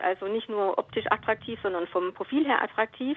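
With an ordinary speaking voice, a woman talks at a moderate pace and a fairly high pitch, using ordinary pitch variation. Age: 50s. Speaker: radio caller. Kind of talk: call-in conversation. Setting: phone call.

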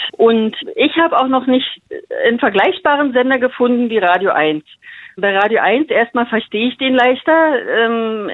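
At a moderate pace, a woman talks in a high pitch. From Berlin-Brandenburg, Germany. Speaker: radio listener, kindergarten worker. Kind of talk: phone interview. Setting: phone call.

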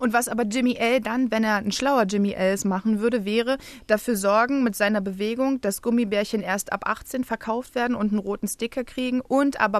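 A woman speaks in a normal speaking voice at a moderate pace and fairly high pitch. Her intonation is fairly even, and the background is quiet. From Berlin, Germany. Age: 20s. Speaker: playwright. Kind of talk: casual chat. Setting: radio studio.

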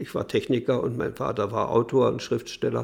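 At a moderate pace, a man with a medium pitch talks with vocal fry. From Mecklenburg, northern Germany. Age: 80s+. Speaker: retired printing engineer, interviewee. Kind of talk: interview recollection.

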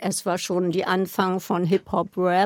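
A woman with a medium-pitched voice speaks very slowly. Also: dry, close sound with no echo. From Berlin (West). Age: 60s. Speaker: party scene veteran. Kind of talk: interview recollection.

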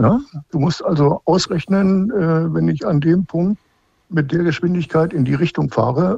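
A man speaks at a fairly high pitch and fairly slow pace. His tone is dark and mellow. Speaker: caller, retired instructor. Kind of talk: radio call-in conversation. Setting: phone call from home. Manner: halting, many fillers.

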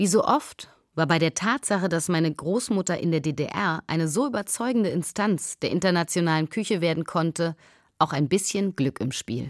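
A woman with an ordinary speaking voice talks at a moderate pace and a fairly low pitch with lively intonation, in a very clean, dry, close recording with no echo and a silent background. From East Berlin, Germany. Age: 40s. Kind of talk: scripted narration.

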